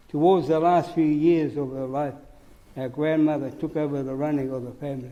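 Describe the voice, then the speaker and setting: At a fairly quick pace, a man speaks in a fairly high pitch with fairly even intonation and audible room echo. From New Zealand, Hawke's Bay (Māori community). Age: 80s+. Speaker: Māori elder giving evidence. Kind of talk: testimony at public hearing.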